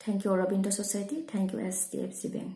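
A woman speaks at a medium pitch with a dark, mellow tone and a somewhat breathy quality. Room echo can be heard. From Assam, India (Sivasagar); Assam, India. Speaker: school teacher. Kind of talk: prepared testimonial talk. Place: home room. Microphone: phone near.

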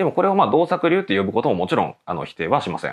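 A man's high-pitched voice with very wide pitch swings, over a quiet background. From Japan, Nagano. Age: 30s. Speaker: professional go player and teacher. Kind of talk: tutorial. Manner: filler-heavy conversational.

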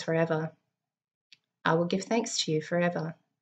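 Against a quiet background, a woman speaks in a somewhat breathy voice at a fairly low pitch. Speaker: preacher or devotional speaker. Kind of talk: sermon. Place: home room. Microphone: webcam.

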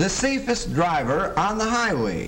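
A man at a high pitch and a fairly slow pace, over light background noise. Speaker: film narrator. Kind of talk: 1930s training film narration, formal and sermon-like. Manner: formal, measured, stately. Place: studio.

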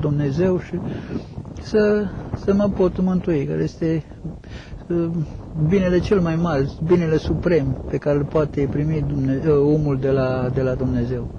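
Noticeable background noise sits under dry sound with no echo. A man speaks at a fairly slow pace with ordinary pitch variation. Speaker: monk. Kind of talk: interview answer. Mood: calm, devout, reflective. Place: open country.

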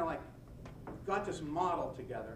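A man with an American accent talks at a fairly high pitch. Noticeable background noise is heard. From western Pennsylvania. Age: 60s. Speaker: nonprofit organizer and former prosecutor. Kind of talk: lecture. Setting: podium before a live audience. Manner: folksy, self-deprecating storyteller. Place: meeting room.

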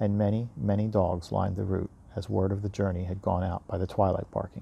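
Dark and mellow, a man's fairly low voice carries vocal fry and fairly even intonation. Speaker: audiobook reader. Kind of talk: bedtime story reading aloud. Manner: gentle, even storyteller pacing; warm, friendly, chatty with young listeners. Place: garden. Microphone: earbuds.

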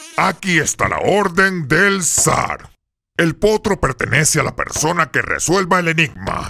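A man speaks at a high pitch with ordinary pitch variation. His pace is fairly slow. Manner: pompous, bossy.

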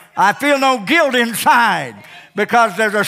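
With faint music in the background, a man uses a high, raised, projected voice with an animated tone at a fairly slow pace. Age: 70s. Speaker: pastor. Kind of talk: sermon. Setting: church. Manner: animated, repetitive preaching cadence. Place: church. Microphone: headset.

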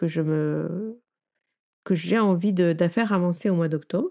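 Against a quiet background, a woman with a dark, mellow tone speaks at a fairly low pitch. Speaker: tarot coach and podcast host. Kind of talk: casual solo chat. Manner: halting, many fillers. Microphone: new microphone.

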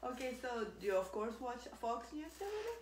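A woman speaks fast with big pitch swings at a fairly high pitch. Clear background noise is audible.

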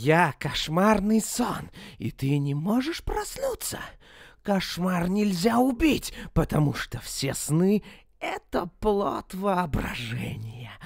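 A man's put-on character voice, high-pitched, with very wide pitch swings, at a fairly slow pace. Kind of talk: dramatic video game dubbing. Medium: fan dub. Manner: menacing, gloating, taunting.

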